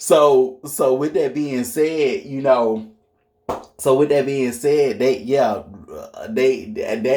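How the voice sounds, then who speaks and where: A man's unremarkable speaking voice, medium in pitch, at a fairly slow pace. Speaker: astrology commentator. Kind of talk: casual monologue.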